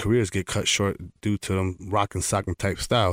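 In an unremarkable speaking voice, a man with a fairly low pitch talks at a fairly quick pace on a very clean recording with a silent background. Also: dry, close sound with no echo. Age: 40s. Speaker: professional boxer. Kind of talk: interview. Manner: filler-heavy, frequent you know.

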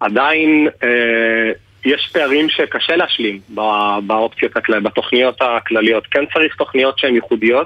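This man talks at a medium pitch and a moderate pace. His pitch varies in an ordinary way while his loudness stays very even. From Israel, ultra-Orthodox community. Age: 30s. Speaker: nonprofit community manager. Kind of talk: radio interview. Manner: halting.

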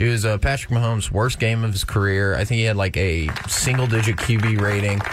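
Against noticeable background noise, a man talks fairly quickly and with very even loudness, his pitch fairly low and hardly any pauses between words. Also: fairly even intonation. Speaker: sports betting pundit. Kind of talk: sports picks segment. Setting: studio.

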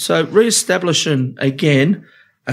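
In an Australian accent, a man speaks at a fairly high pitch. The recording is very clean, with a silent background. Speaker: union official. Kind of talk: casual chat.

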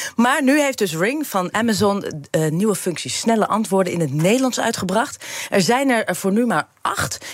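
A woman's moderately paced voice with lively intonation and very even loudness, against noticeable background noise. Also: medium pitch for a woman. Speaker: tech reporter. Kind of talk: casual chat.

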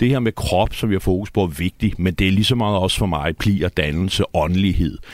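A man with an ordinary speaking voice talks at a fairly quick pace, fairly low in pitch with ordinary pitch variation. The recording is very clean with a silent background. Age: 40s. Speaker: poet. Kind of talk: studio conversation. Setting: radio studio.

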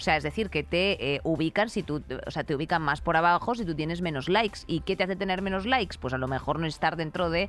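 The speaker has a normal speaking voice, moving at a fairly quick pace with ordinary pitch variation. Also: woman. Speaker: podcast co-host. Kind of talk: casual comedic chat.

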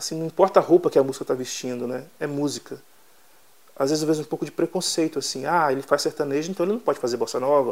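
The man's voice is fairly high, and its pitch moves in an ordinary way. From Brazil, southern Bahia. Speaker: songwriter. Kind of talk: interview.

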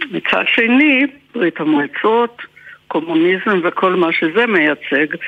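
A woman's medium-pitched voice with a Swedish accent, at a very slow pace, over noticeable background noise. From Finland. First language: Swedish (speaking Hebrew). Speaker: translator. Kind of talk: interview. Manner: halting.

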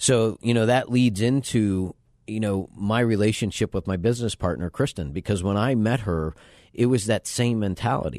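Against a quiet background, a man with an American accent speaks at a moderate pace. He has a normal speaking voice with a fairly low pitch and ordinary pitch variation. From western Pennsylvania, suburb of Pittsburgh. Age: 50s. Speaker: adventure travel company owner and mountaineer. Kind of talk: radio interview. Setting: radio studio.

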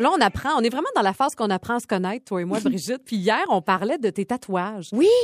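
Fairly high-pitched speech from a woman at a very fast pace with hardly any pauses and lively intonation, dry and close with no echo, music in the background. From Quebec, Côte-Nord (Port-Cartier). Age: 40s. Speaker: podcast co-host, TV personality. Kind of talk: casual chat.

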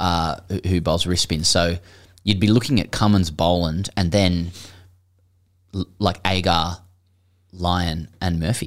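With an Australian accent, a man speaks at a fairly slow pace in a very deep, low pitch, with fairly even intonation and long, frequent pauses. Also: very clean recording, silent background. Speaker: cricket podcast co-host. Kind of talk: casual chat.

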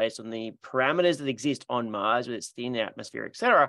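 A man with an Australian accent talks at a very fast pace in a bright, sharp tone with ordinary pitch variation. The sound is dry and close with no echo, and the background is quiet. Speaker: podcast host. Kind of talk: casual interview chat.

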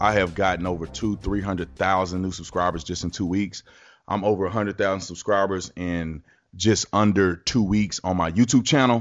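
A man talks at a fairly quick pace with a very deep, low pitch. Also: quiet background. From Texas. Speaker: radio talk show host. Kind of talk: talk radio monologue. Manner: animated.

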